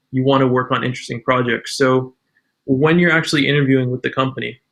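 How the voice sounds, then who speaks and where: A man with an ordinary speaking voice talks at a fairly quick pace, medium in pitch, with fairly even intonation. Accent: Canadian. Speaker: UX designer. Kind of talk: podcast interview.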